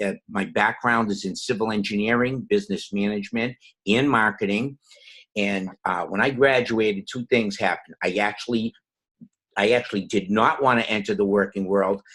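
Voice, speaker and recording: A man with a Boston accent speaks at a moderate pace. His pitch is fairly low and his intonation fairly even. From Boston, Massachusetts. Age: 60s. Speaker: network marketing distributor. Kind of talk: personal testimony.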